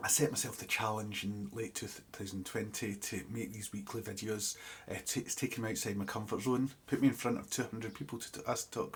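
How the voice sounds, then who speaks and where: The speaker is a man with a somewhat breathy voice. His pitch sits at a medium level. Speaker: ecologist and wildlife educator. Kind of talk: video diary. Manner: halting, many fillers.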